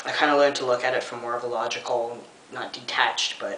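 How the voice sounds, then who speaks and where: A man's medium-pitched, monotone, flat delivery at a moderate pace, with audible room echo and noticeable background noise. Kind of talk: vlog update. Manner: relaxed, hesitant with frequent ums.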